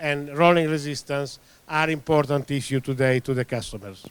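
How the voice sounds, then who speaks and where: Speaking in an Italian accent, a man uses a fairly high pitch with ordinary pitch variation. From Italy. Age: 60s. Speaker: tyre industry expert. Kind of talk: presentation. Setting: meeting room. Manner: halting, many fillers.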